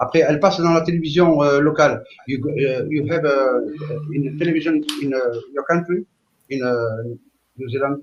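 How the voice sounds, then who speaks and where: A man speaks in a fairly high pitch at a moderate pace with fairly even intonation. He leaves long, frequent pauses. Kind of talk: live stream group discussion. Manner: halting.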